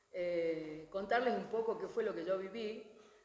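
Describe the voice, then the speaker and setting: Speaking at a medium pitch and a fairly slow pace, a woman keeps her intonation fairly even amid audible room echo. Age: 60s. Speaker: educator and former education official. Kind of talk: panel talk. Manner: hesitant, many fillers.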